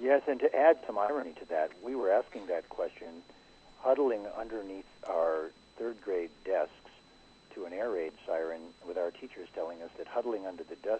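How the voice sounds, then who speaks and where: A man with a plain, everyday voice and an American accent, fairly quick in pace, with big swings in loudness and lively intonation. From US Midwest, Detroit. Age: 60s. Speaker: spiritual teacher and author. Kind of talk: interview conversation.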